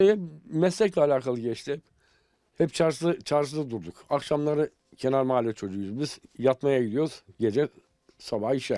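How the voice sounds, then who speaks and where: A man speaks in a fairly high voice with a dark, mellow tone. The background is quiet and the sound is dry, with no echo. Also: moderate pace. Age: 60s. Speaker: tailor. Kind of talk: interview testimony. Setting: tailor shop. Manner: halting. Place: shop. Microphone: handheld.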